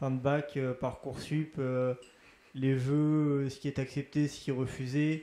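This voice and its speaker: An unremarkable speaking voice from a man, fairly high in pitch, with fairly even intonation at a fairly slow pace. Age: 20s. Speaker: student resident. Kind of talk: interview.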